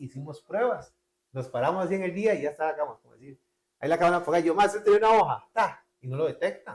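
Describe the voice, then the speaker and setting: A man with a Costa Rican accent, high in pitch, with ordinary pitch variation and a very fast pace. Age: young. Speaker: graphic designer. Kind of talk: casual interview storytelling. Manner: animated.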